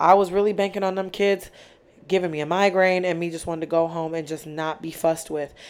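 A woman talks at a very fast pace with a fairly low pitch. Her tone is animated. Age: 20s. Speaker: podcast host. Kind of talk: casual solo monologue. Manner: loud.

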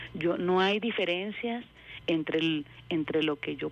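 A woman with a normal speaking voice talks in a fairly low pitch with fairly even intonation. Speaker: agricultural engineer. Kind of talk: radio interview.

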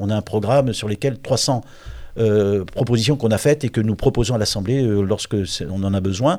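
A man with a dark, mellow tone and medium pitch, ordinary pitch variation, a moderate pace with long, frequent pauses, on a very clean recording with a silent background. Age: 60s. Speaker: politician. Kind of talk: interview. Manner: halting.

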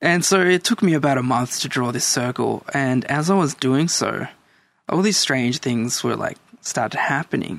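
Lively intonation marks the speech of a man with an Australian accent. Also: medium pitch for a man, moderate pace. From El Salvador, raised in Australia. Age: 30s. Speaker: guest. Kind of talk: casual chat.

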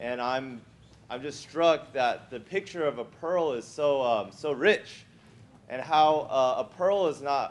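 Using a plain, everyday voice, a man speaks at a fairly slow pace with a fairly high pitch and ordinary pitch variation. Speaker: church member. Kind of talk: testimony. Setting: church meeting with audience.

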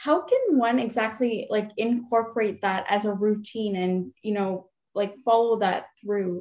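At a fairly slow pace, a woman speaks at a fairly high pitch with ordinary pitch variation. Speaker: podcast host. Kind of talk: interview. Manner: enthusiastic.

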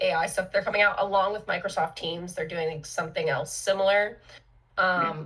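Speaking at a fairly quick pace, a woman has a normal speaking voice. Her pitch sits in the medium range. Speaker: marketer and podcast co-host. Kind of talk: casual chat.

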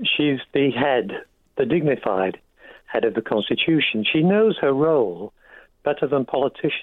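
A man with an English accent speaks at a moderate pace in a fairly high pitch, with very wide pitch swings and very even loudness. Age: 70s. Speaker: radio caller. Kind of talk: radio phone-in. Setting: phone call.

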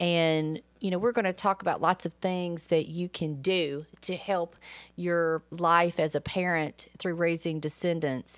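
This woman has a normal speaking voice, fairly low in pitch, with fairly even intonation and a fairly slow pace. The very clean recording has a silent background and a dry, close sound with no echo. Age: 40s. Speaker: parenting podcast co-host. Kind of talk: casual chat.

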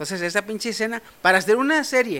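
A man talks at a fairly quick pace in a raised, projected voice. His tone is animated and his intonation lively. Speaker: podcast host. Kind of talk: casual chat.

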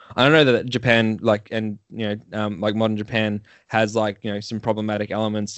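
Fairly quick, monotone speech from a man with an Australian accent and flat intonation. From Australia, Melbourne. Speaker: podcast host. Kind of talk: casual interview.

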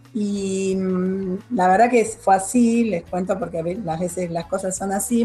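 Her voice is somewhat breathy and medium in pitch, and the woman speaks at a moderate pace with ordinary pitch variation. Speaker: retired school principal and supervisor. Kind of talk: radio interview.

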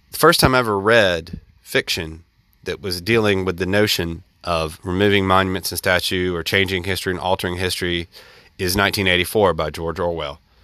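A man's very deep, low voice with a Southern US accent, a bright, sharp tone, fairly even intonation and a fairly quick pace, on a very clean recording with a silent background. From US South, central Alabama. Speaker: podcast host. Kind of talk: solo monologue commentary.

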